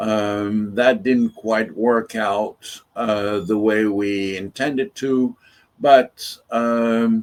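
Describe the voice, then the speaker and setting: A man's voice at a medium pitch. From France and Tunisia. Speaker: urban farm founder. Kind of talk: interview. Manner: halting, many fillers.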